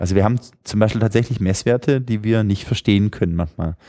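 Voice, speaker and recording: A man speaks at a fairly low pitch in a dark, mellow tone with ordinary pitch variation. The recording is very clean and dry, close with no echo, over a silent background. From Swabian Jura, southern Germany. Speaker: app developer. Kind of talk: casual interview.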